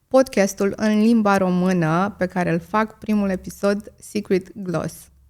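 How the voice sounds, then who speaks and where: Flat and monotone, a woman speaks at a medium pitch. The recording is very clean, with a silent background. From Romania, Moldavia region (Vrancea county). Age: 30s. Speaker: content creator, podcast host. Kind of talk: podcast Q&A monologue. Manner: many filler hesitations.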